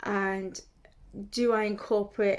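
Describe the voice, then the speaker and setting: In a British accent, a woman at a medium pitch talks very slowly with a monotone, flat intonation. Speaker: lifestyle vlogger. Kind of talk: casual talk to camera. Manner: hesitant, many fillers.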